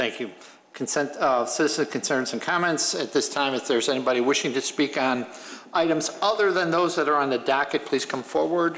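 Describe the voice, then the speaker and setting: A man talks at a fairly quick pace with ordinary pitch variation. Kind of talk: formal meeting procedure. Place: hall. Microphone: podium.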